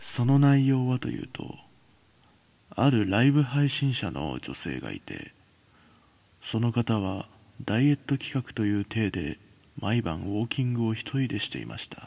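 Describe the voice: With vocal fry and a slightly mellow tone, a man speaks at a moderate pace and fairly low pitch, making big pitch swings.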